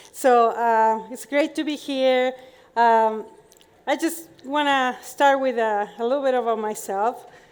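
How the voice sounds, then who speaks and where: A woman with a Chilean accent talks at a fairly slow pace, her high pitch held in fairly even intonation. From Chile, Santiago. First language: Spanish. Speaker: professor. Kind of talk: conference talk.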